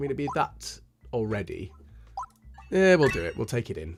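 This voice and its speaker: The speaker has a British accent and very wide pitch swings. Music plays in the background. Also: man. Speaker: gaming YouTuber / ASMR-style let's player. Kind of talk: casual gameplay commentary to camera.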